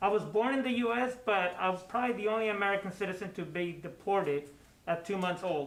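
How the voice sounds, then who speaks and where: The speaker has a Spanish accent and talks at a fairly quick pace. Pitch variation is ordinary. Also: man. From Mexico, Mexicali. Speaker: assistant principal. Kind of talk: school broadcast interview. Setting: studio. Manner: hesitant, many fillers.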